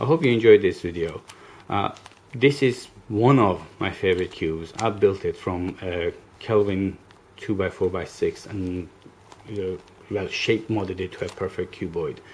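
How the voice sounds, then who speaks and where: A man speaks at a fairly low pitch with ordinary pitch variation, leaving long, frequent pauses. Noticeable background noise sits behind him. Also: moderate pace. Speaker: puzzle hobbyist YouTuber. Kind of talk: tutorial. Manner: hesitant, many fillers.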